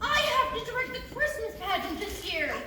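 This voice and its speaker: A woman uses a put-on, squeaky character voice at an extremely high pitch with very wide pitch swings and a moderate pace. Clear background noise and a clear echo are present. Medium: audio drama. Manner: warm, laughing.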